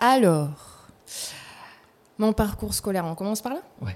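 A woman speaking at a fairly slow pace. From New Caledonia, Nouméa. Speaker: actress. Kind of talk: casual interview. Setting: studio. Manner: animated.

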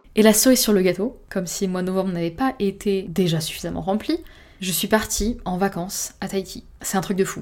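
A woman of medium pitch speaks fairly quickly with ordinary pitch variation, in a very clean recording with a silent background. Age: 20s. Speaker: podcaster. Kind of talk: personal monologue. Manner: smiling voice.

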